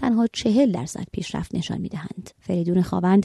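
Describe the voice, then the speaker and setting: Somewhat breathy and dark, mellow in tone, a woman's medium-pitched voice moves at a fairly quick pace in dry, close sound with no echo. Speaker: radio magazine host. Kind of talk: news reading. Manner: formal.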